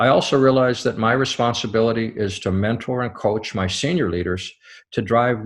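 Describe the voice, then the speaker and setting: A man with an American accent speaks in a normal speaking voice at a medium pitch and moderate pace. His pitch variation is ordinary, and the background is quiet. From US, small town. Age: 60s. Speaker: company CEO. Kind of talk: scripted address. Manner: formal.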